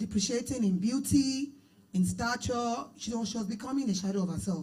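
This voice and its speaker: Somewhat breathy and dark, mellow in tone, a woman speaks with a Nigerian accent and lively intonation amid audible room echo. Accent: Nigerian (Yoruba) English. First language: Yoruba. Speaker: minister. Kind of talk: marriage teaching panel.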